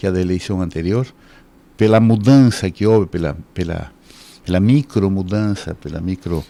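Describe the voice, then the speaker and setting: A man's fairly low voice, dark and mellow in tone, with ordinary pitch variation at a moderate pace. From Uruguay. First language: Spanish (speaking Portuguese). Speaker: law professor. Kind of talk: radio interview. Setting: radio studio, simulcast on TV.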